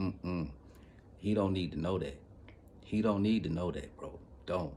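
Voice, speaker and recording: An animated man's very deep, low voice at a moderate pace, with ordinary pitch variation and audible room echo. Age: 40s. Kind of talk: casual monologue vlog. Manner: animated, repetitive.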